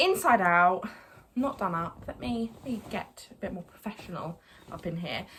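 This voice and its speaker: Her intonation lively, a woman speaks with an Essex accent. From Essex, England. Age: 20s. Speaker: lifestyle YouTuber. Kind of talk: casual vlog haul. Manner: fast.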